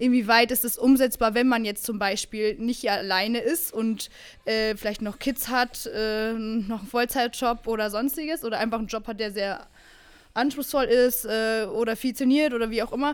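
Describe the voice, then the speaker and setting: A woman talks in a normal speaking voice, fairly high in pitch, with fairly even intonation. The recording is very clean, with a silent background. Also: moderate pace. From Bavaria. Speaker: fitness podcast co-host. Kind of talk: casual chat.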